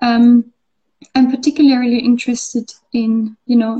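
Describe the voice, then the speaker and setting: A woman's fairly high voice has a dark, mellow tone and a monotone, flat intonation. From Austria. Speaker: artist and art student. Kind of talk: casual interview chat.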